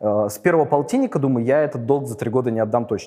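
A man with a fairly high voice speaks while music plays in the background. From St Petersburg, Russia. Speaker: lawyer and investor. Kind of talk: interview.

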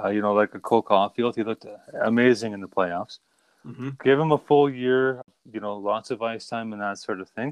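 A man with a normal speaking voice at medium pitch, with big swings in loudness, ordinary pitch variation and a fairly quick pace. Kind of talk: casual sports podcast chat. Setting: remote recording, online audio call.

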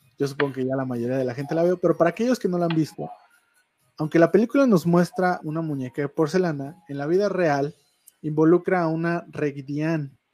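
With an unremarkable speaking voice, a man talks at a fairly quick pace, his fairly high pitch showing ordinary variation. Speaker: online radio show co-host. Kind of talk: storytelling; casual chat. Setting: studio.

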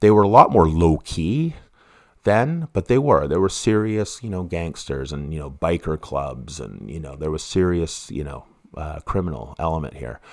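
In a Western Canadian accent, a man with a very deep, low voice speaks at a moderate pace, with lively intonation and big swings in loudness. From Canada, East Vancouver. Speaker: true crime podcaster. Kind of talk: casual monologue. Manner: halting, many restarts.

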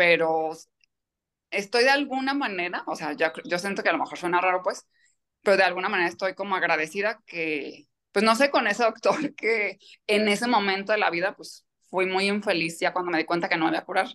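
Her bright, sharp voice sits at medium pitch as the woman talks fairly quickly with ordinary pitch variation. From Mexico, Michoacán. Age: 30s. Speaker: kidney transplant patient. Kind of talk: interview testimony.

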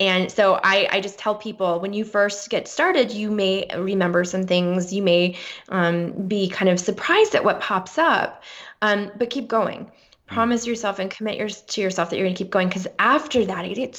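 Her medium pitch moves in an ordinary way as the woman talks at a moderate pace. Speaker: author and speaker. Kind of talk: interview. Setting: remote call. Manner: confident and joyful.

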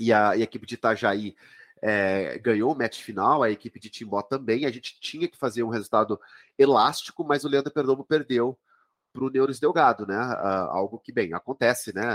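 In a very clean recording with a silent background and a dry, close sound with no echo, a man with a plain, everyday voice talks at medium pitch and a fairly quick pace, with ordinary pitch variation and big swings in loudness. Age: 40s. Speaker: chess master and coach. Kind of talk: interview.

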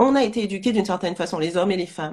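With an Antillean accent, a woman speaks in a somewhat breathy voice with lively intonation. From Martinique. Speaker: spiritual coach. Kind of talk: live interview. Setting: online live stream.

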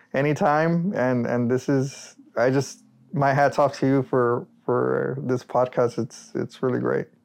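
Fairly slow, fairly even speech in an American accent over music in the background. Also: man. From Rio Grande Valley, South Texas. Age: 30s. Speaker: solar energy entrepreneur. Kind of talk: casual interview.

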